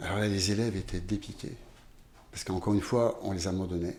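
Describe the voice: Audible room echo surrounds a man whose low-pitched, slightly mellow voice moves at a fairly quick pace with fairly even intonation.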